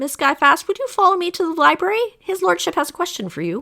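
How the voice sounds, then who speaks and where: A woman's put-on character voice, squeaky and extremely high with a warm tone, lively intonation and a very fast pace, on a very clean recording with a silent background. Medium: read story. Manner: polite, warm.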